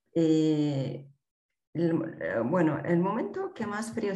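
Audible room echo follows a woman's voice. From Peru, Andean highlands. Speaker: mountaineer and mountain guide. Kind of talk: interview.

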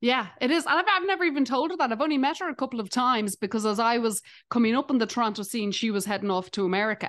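A woman with an Irish accent, a high pitch, lively intonation and a very fast pace. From Dublin, Ireland. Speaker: stand-up comedian. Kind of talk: casual chat.

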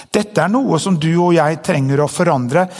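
A man with lively intonation, fairly high pitch and an unremarkable speaking voice. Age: 50s. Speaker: pastor. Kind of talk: sermon.

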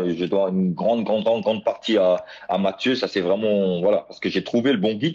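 Noticeable background noise behind a man's fairly low voice. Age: 30s. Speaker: blind para athlete. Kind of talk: interview. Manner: halting, many repetitions.

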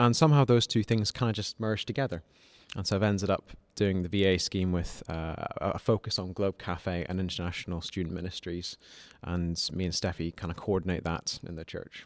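At a fairly quick pace, a man talks with a very deep, low pitch and ordinary pitch variation in a dry, close sound with no echo. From Malawi. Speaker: doctor and church volunteer.

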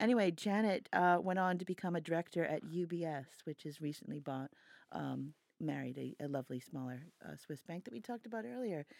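This woman has an ordinary speaking voice, fairly low in pitch, with lively intonation and a fairly quick pace. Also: very clean recording, silent background. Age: 50s. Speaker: banking journalist and podcast co-host. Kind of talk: casual chat.

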